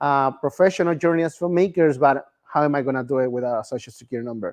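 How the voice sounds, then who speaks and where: Words come out at a very fast pace with a Spanish accent. The sound is dry and close with no echo, and the pitch varies in an ordinary way. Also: man. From Mexico. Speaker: filmmaker, immigrant activist. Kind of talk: bilingual personal testimony talk.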